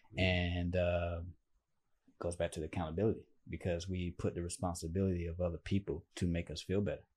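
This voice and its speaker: In a quiet background, a man with a very deep, low pitch speaks at a fairly quick pace, somewhat breathy and with flat, monotone intonation. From Alabama, US South, small town. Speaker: guest on personal growth show. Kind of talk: casual chat.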